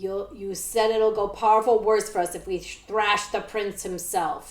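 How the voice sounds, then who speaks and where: Growling in a put-on character voice, a woman speaks at a moderate pace and medium pitch. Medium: read story. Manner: cackling, sneering.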